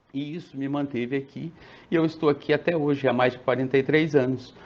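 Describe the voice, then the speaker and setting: This man has an unremarkable speaking voice, pitched fairly high. He talks at a moderate pace with fairly even intonation. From Brazil, interior of São Paulo state (Presidente Prudente). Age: 60s. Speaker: pharmacist. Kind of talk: interview.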